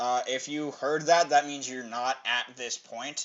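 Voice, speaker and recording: Speaking at a moderate pace, a man with a fairly high pitch keeps fairly even intonation. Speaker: YouTube reviewer. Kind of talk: casual review monologue. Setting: home recording. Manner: loud; halting, many fillers.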